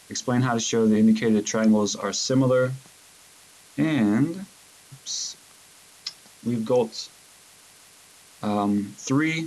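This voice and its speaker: A medium-pitched man at a very slow pace with long, frequent pauses and ordinary pitch variation, over noticeable background noise. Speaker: math teacher. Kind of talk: lesson recap video for students.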